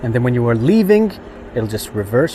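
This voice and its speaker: A man speaks at a fairly quick pace and medium pitch with lively intonation. Noticeable background noise is present. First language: not English. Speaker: car reviewer / YouTuber. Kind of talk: product walkthrough tutorial. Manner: casual, hesitant with frequent fillers.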